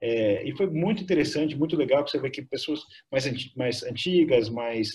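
A man's somewhat breathy voice, fairly high in pitch, at a moderate pace with ordinary pitch variation. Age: 50s. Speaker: tech company co-founder. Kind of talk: interview.

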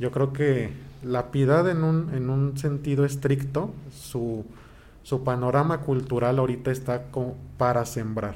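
Fairly slow pace and fairly even intonation, with audible room echo. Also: man, medium pitch for a man. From Mexico, Toluca. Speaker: pianist and choir director. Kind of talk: interview.

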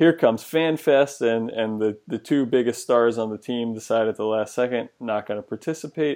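A man with a normal speaking voice talks at a medium pitch and moderate pace, with ordinary pitch variation and hardly any pauses. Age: young. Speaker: sports podcast host. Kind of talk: casual chat.

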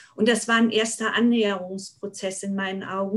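With monotone, flat intonation, a woman speaks. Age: 50s. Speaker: party board member, social worker. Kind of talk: podcast interview. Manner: hesitant with many fillers.

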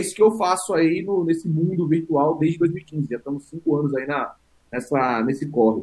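This is a man with a normal speaking voice, talking at a moderate pace. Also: fairly high pitch for a man, ordinary pitch variation. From São Paulo, east zone. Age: 30s. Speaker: football YouTuber. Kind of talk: casual chat.

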